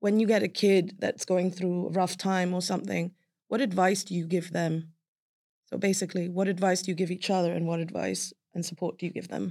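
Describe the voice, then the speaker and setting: Dark, mellow tone with monotone, flat intonation at a fairly quick pace, on a very clean recording with a silent background. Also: woman. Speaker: podcast host. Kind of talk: casual interview.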